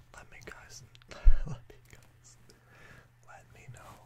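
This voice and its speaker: A man talks at a fairly slow pace. Loud background noise runs behind him. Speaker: vlogger. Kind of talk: casual vlog chat. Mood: reflective, slightly low-key. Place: home room.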